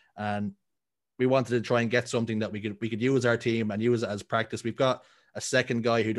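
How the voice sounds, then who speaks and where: Speaking at a very fast pace, a man at a medium pitch keeps a monotone, flat intonation. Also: very clean recording, silent background. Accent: Dublin. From Ireland, Dublin. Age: 30s. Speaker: esports caster. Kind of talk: casual chat.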